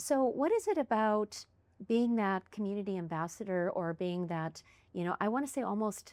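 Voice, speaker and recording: A woman with a Canadian Prairie accent speaks with lively intonation. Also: medium pitch for a woman, moderate pace, very clean recording, silent background. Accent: Canadian English (Prairies). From Canada, Winnipeg, Manitoba. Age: 60s. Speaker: podcast host. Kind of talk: casual interview chat.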